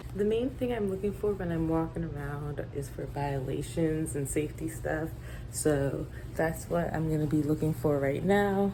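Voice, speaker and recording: Whispering, a soft-spoken woman talks at a moderate pace. Audible room echo surrounds her voice. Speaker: lab coordinator and vlogger. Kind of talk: casual vlog narration. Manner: whispering softly in the labs.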